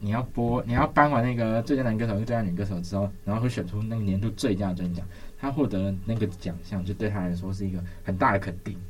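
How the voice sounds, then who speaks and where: A man speaks very fast in a fairly low, somewhat breathy voice. His pitch varies in an ordinary way. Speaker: campus radio host. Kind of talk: radio music show chat. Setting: radio studio.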